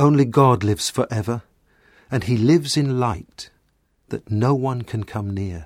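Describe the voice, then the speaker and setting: Somewhat breathy, a man speaks at a fairly slow pace with lively intonation in a very clean recording with a silent background. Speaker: scripture reader. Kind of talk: reading aloud.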